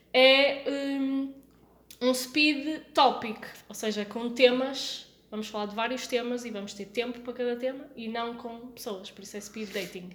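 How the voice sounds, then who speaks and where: A woman speaks at a fairly slow pace in a high pitch, her intonation fairly even but her loudness swinging widely. Noticeable background noise and audible room echo surround her. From born in France (Lyon), Portuguese podcast. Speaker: podcast host. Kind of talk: casual chat.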